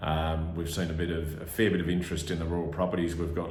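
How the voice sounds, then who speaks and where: A man with an Australian accent talks at a fairly quick pace in a very deep, low pitch, somewhat breathy and with monotone, flat intonation. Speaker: livestock licensee and auctioneer. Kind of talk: livestock market report commentary.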